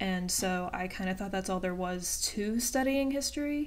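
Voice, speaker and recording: The woman has a medium-pitched voice with an American accent. Audible room echo can be heard around her. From Virginia, US, small town. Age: 20s. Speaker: YouTuber, student. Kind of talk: casual Q&A vlog. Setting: webcam recording at home. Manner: hesitant, many fillers.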